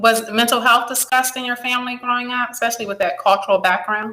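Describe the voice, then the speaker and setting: A woman with a plain, everyday voice talks at a fairly quick pace with hardly any pauses, her fairly high pitch showing ordinary variation. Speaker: psychologist, podcast host. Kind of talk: interview.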